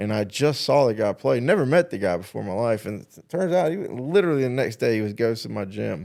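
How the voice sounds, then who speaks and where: A man with a Southern US accent at a very fast pace, very wide pitch swings and big swings in loudness. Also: medium pitch for a man. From South Carolina. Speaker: talk show host. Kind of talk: casual chat.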